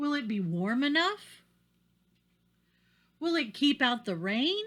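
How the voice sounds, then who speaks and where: A woman performs a put-on character voice at a high pitch with very wide swings. She goes at a fairly slow pace in a very clean recording with a silent background. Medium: read story. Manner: careful, earnest.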